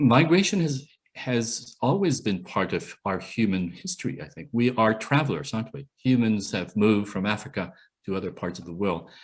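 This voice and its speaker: Over a quiet background, a man talks at a moderate pace and medium pitch. His pitch swings very widely and his loudness varies a lot. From Canada. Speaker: UN human rights expert, professor. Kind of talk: Q&A talk at online meeting. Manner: halting.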